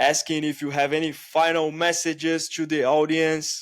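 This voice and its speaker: A man speaks in a Brazilian accent at a fairly high pitch. His pace is fairly slow, and the recording is very clean with a silent background. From Brazil, Itaquera (São Paulo). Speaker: podcast host. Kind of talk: casual chat.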